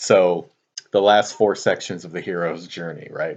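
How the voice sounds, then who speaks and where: Quiet and fairly low-pitched, a man speaks in monotone, flat intonation. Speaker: teacher. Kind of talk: lecture. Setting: at home, late at night. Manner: quiet, low volume; hesitant with fillers.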